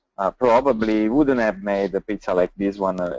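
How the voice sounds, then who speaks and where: With an Italian accent, a man speaks at a moderate pace in a fairly low voice. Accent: Italian accent, non-native English. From Italy. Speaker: pizza chef and restaurant owner. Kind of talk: webinar panel talk. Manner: halting, many fillers.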